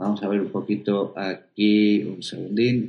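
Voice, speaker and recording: Here a man with a fairly low pitch talks at a fairly slow pace. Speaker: tabletop roleplaying podcast host. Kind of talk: casual chat. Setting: video recording.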